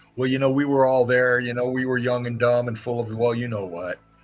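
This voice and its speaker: A man's medium-pitched voice over background music, fairly quick and fairly even in intonation. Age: 60s. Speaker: live stream host. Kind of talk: casual chat. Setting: live stream.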